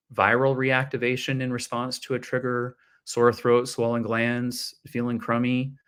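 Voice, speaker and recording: On a very clean recording with a silent background, a man speaks in an unremarkable speaking voice at a medium pitch and a fairly slow pace. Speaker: physical therapy professor. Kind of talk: interview.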